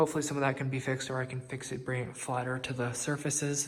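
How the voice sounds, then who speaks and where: Over noticeable background noise, a man at a medium pitch speaks very fast in a monotone, flat intonation. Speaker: vlogger documenting own house build. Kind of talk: casual vlog walkthrough. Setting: inside a house under construction, window open. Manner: casual with many filler ums; quiet, keeping voice down.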